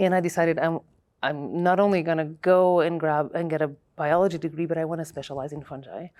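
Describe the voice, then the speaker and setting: On a very clean recording with a silent background, a woman with a Portuguese accent speaks at a moderate pace with a fairly low pitch and fairly even intonation. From Portugal. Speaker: mycologist, evolutionary biology professor. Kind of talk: oral history interview. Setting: scientific conference.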